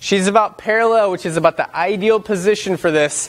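High-pitched man's voice at a fairly quick pace, with ordinary pitch variation. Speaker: fitness trainer. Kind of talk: workout instruction. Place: gym.

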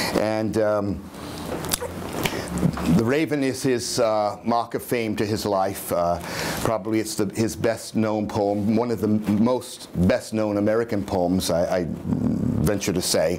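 A man's fairly low voice at a very slow pace, with fairly even intonation and very even loudness, over noticeable background noise. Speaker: dramatic reader introducing a poem. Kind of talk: casual spoken introduction to a reading, hesitant with fillers. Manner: conversational, hesitant. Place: home room. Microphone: camera far.

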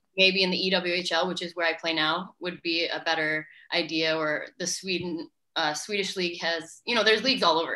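A woman speaks at a fairly quick pace in a fairly low pitch, her tone bright and sharp against a quiet background. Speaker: interviewee. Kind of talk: interview answer. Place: home room. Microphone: video call.

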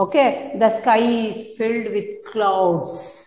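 In a room with audible echo, a woman speaks at a very slow pace with fairly even intonation. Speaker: school teacher. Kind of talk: lesson to young children. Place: classroom. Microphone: camera far.

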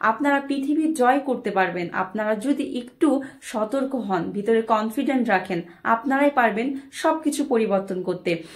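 Her intonation is lively and her pitch fairly high. The woman is heard over a quiet background. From Bangladesh. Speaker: motivational speaker. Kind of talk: motivational talk. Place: home room. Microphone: phone near.

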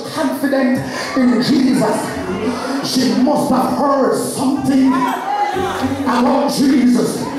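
A man speaks with audible echo from the room. Music plays clearly in the background. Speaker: preacher. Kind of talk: sermon. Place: church. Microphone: pa.

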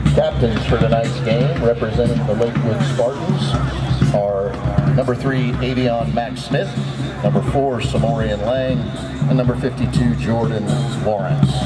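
Clear music plays behind a man who speaks at a fairly slow pace. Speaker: stadium announcer. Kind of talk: public address announcement. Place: stadium.

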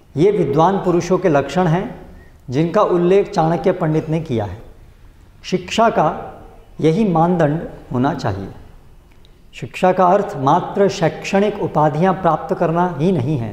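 A man speaks at a high pitch, very slowly, with long and frequent pauses. His pitch varies in an ordinary way, and the room echo is audible. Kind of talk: reading scripture commentary aloud. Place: church.

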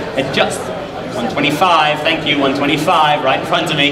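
A man with a fairly high pitch against noticeable background noise. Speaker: auctioneer. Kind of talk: auction bid calling. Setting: auction hall with live audience and running engine. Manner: urgent, coaxing crowd to keep bidding. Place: hall. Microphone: pa.

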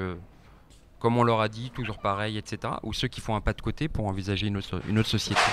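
Noticeable background noise sits behind a man speaking at a moderate pace and a fairly low pitch, in a dry sound with no echo. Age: 30s. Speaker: politician, party spokesperson; guest. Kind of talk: radio interview. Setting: radio studio. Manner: hesitant, many fillers. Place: studio. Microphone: handheld.

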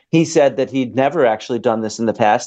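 Quiet background behind a male speaker. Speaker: remote guest. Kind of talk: interview answer. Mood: thoughtful, measured. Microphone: video call.

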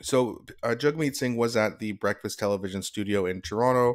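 With ordinary pitch variation, a man talks against a quiet background. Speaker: political commentary youtuber. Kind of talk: commentary.

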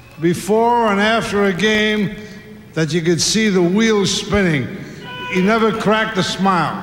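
A man's high-pitched voice with fairly even intonation at a fairly slow pace, plus audible room echo and light background noise. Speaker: former coach giving a tribute. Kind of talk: ceremonial speech. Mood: warm, humorous tribute. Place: stadium. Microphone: podium.

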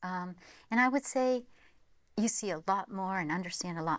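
A woman with an American accent speaks at a fairly low pitch with ordinary pitch variation. The sound is dry, with no echo. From American, from Vermont. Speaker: university provost and civil engineering academic. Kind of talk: interview answer. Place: studio. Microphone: lapel.

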